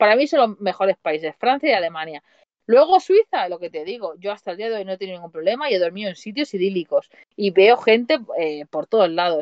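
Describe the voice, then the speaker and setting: A woman with a plain, everyday voice speaks at a fairly quick pace and a medium pitch. Her intonation is lively, and her loudness swings a lot. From Spain, Mataró (Barcelona). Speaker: van-life traveller and coach. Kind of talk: casual chat. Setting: remote call on a livestream.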